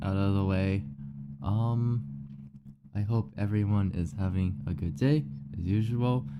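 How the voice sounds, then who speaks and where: Soft-spoken and mumbling, a man talks at a fairly slow pace in a fairly low voice, with long, frequent pauses. His intonation is lively. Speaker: streamer. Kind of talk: casual live-stream chat.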